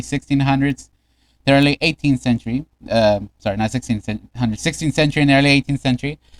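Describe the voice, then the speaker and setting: The speech runs at a very fast pace with fairly even intonation, and the sound is dry and close with no echo. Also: man. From Mexico. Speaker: streamer. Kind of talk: reading aloud. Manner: halting.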